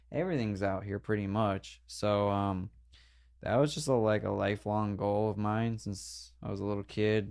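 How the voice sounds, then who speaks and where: A man with an American accent has an unremarkable speaking voice, fairly low in pitch with ordinary variation. He keeps a moderate pace against a quiet background. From New Jersey (Denville). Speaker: pro skateboarder. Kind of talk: casual podcast interview.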